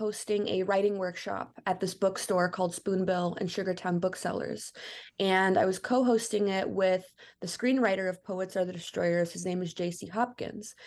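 A woman with an American accent, an unremarkable speaking voice, medium pitch, moderate pace and a quiet background. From Chicago, US Midwest. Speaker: filmmaker. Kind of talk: interview.

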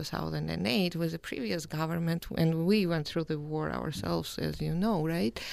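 A woman with a Georgian accent is captured on a very clean recording with a silent background. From Georgia (country). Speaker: postdoctoral scholar in journalism. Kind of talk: panel discussion.

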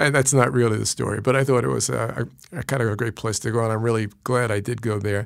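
Very fast speech in a New York accent, with ordinary pitch variation, on a very clean recording with a silent background. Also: man, medium pitch for a man. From New York City (Brooklyn, Queens). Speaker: physician. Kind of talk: interview. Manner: halting.

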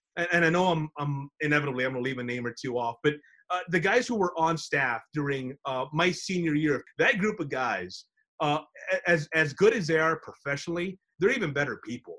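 A man with an American accent talks at a fairly quick pace, his tone bright and sharp and his intonation lively. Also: fairly high pitch for a man. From Texas, San Antonio. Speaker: sports broadcaster. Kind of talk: interview.

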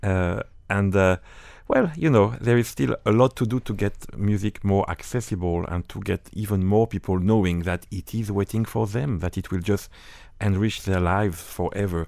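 Speaking at a moderate pace with a French accent, a man uses a fairly low pitch and ordinary pitch variation on a very clean recording with a silent background. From northern France. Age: 50s. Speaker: orchestra conductor. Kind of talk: interview. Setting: studio.

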